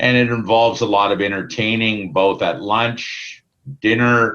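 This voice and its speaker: Here a man speaks with a Canadian accent at a very slow pace. His pitch is fairly low, with ordinary variation. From Ontario, Canada. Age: 60s. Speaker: sales manager. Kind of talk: casual interview. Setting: video call. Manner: hesitant, many fillers.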